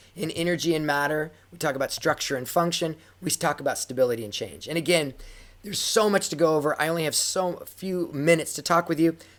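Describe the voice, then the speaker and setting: A raspy, put-on character voice at a middle pitch and very fast pace. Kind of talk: teaching, lecture-style. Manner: fast-paced, rushed.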